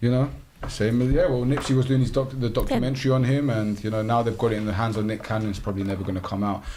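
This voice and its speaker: A man's very fast speech in a London accent, medium in pitch, with audible room echo and noticeable background noise. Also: ordinary pitch variation. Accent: London accent, non-posh. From North London, England. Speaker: podcast host. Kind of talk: casual group chat. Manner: animated.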